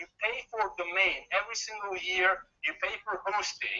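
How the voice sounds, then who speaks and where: The speaker is a man with a non-native accent. His pitch is high. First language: not English. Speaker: online marketing trainer. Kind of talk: webinar presentation.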